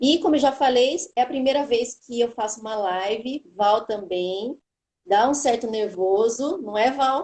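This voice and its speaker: A woman with a fairly high pitch, ordinary pitch variation, and a fairly slow pace. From São Paulo state, Brazil. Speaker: oncology pharmacist, live moderator. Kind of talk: live webinar moderation. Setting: online live stream.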